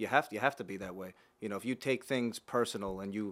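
A man with an unremarkable speaking voice, fairly low in pitch, in an American accent, with fairly even intonation on a very clean recording with a silent background. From Long Island, New York. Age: 30s. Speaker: podcast host, mortgage lender. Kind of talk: casual chat.

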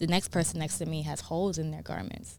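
A woman with a New York accent at a fairly quick pace. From US Northeast, New York City (Bronx, Brooklyn). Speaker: model, sous chef and mindfulness practitioner. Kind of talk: casual interview conversation. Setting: studio.

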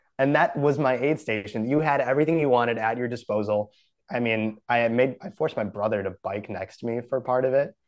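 With an American accent, a man uses a plain, everyday voice at medium pitch, moving at a fairly quick pace with ordinary pitch variation. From Wisconsin. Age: 20s. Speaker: coffee company founder and runner. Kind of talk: casual interview chat.

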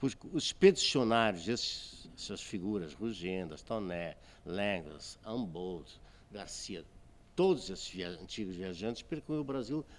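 A man's voice makes very wide pitch swings in a very clean recording with a silent background. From Azores, Portugal. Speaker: photographer. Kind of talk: casual interview chat.

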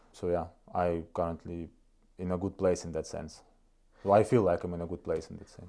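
A man with a Russian accent and a very deep, low, dark, mellow voice talks at a fairly quick pace in a monotone, flat intonation, with long, frequent pauses. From northeast Estonia. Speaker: chief operating officer. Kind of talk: interview conversation. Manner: halting, hesitant.

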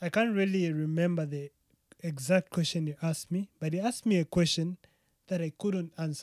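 Recorded dry and close with no echo, a man speaks at a high pitch with fairly even intonation. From Zambia. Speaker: podcast guest. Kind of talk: casual chat.

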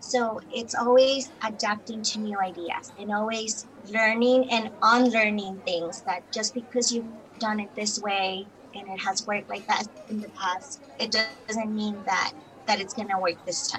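The speaker has a Spanish accent and a fairly slow pace with fairly even intonation. Noticeable background noise is present. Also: woman, fairly high pitch for a woman. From Colombia. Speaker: bilingual teacher and entrepreneur. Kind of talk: interview.

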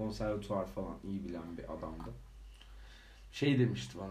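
With a dark, mellow tone and vocal fry, a man's voice makes very wide pitch swings in a room with audible echo. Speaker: podcast co-host. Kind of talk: casual chat. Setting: home recording. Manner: laughing often.

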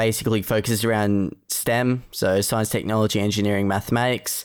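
A man with an Australian accent talks at a moderate pace, with fairly even intonation. The recording is very clean, with a silent background. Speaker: student competitor. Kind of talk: casual technical discussion.

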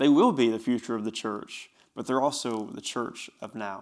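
The speaker has an Appalachian accent and a fairly quick pace. The recording is very clean with a silent background. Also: man. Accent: Southern US (Appalachian). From East Tennessee (Bristol). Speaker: youth pastor, podcast host. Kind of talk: solo podcast monologue. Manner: animated.

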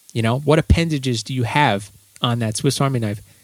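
Very clean recording with a silent background of a somewhat breathy man at a medium pitch, with ordinary pitch variation. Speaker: drummer and podcast host. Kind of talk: casual monologue. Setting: home studio at drum set. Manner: animated.

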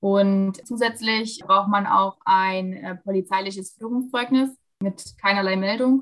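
Intonation stays fairly even while the delivery holds a fairly slow pace. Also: woman. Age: 20s. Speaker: dual student and dressage rider. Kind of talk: interview. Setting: video call. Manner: frequent hesitations.

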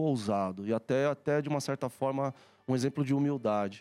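A man's dark, mellow voice at medium pitch, with lively intonation and a moderate pace, in a dry, close sound with no echo. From São Paulo, Brazil. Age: 40s. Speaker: IT executive. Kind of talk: interview.

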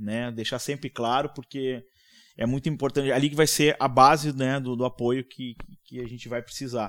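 The man's loudness swings widely while his intonation stays monotone and flat. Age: 40s. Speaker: tech company co-founder. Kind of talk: casual chat. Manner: halting.

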